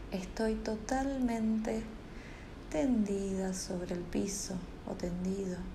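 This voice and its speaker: The voice is calm and soothing, very slow, with long, frequent pauses. Noticeable background noise runs underneath. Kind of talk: guided meditation. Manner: slow, soft-spoken, calm and soothing, with long pauses; gently repetitive, hypnotic cadence of 'suelto' phrases.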